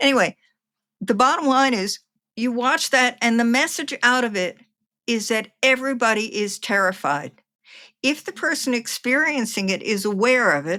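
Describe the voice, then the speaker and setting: This woman talks at a moderate pace with an American accent, her high voice bright and sharp and her intonation lively, on a very clean recording with a silent background. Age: 70s. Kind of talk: interview.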